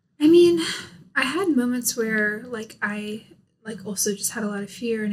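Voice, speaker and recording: Somewhat breathy, a woman speaks at a moderate pace with an American accent. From US. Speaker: YouTuber. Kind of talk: casual chat.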